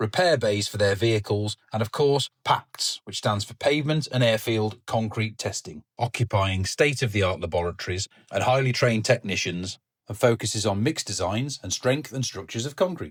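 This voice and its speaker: A somewhat breathy man at a medium pitch, fairly quick in pace with ordinary pitch variation, in a dry, close recording with no echo and a silent, very clean background. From English Midlands. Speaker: concrete industry video host. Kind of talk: vlog narration and interview.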